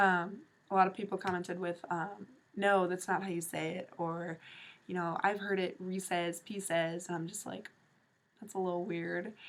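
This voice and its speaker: A woman with an American accent speaks at medium pitch in a monotone, flat intonation. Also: moderate pace. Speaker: vlogger. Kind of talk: casual vlog talk. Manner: casual, filler-heavy.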